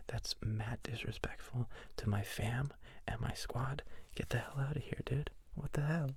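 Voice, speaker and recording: A man whispering at a moderate pace, somewhat breathy. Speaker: ASMR streamer. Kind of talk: live stream ASMR chat. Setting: live stream.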